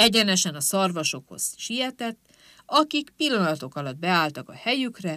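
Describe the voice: The voice is plain reading aloud, delivered with lively intonation.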